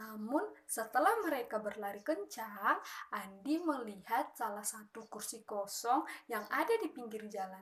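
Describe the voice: At a moderate pace, a woman talks with lively intonation and a fairly high pitch.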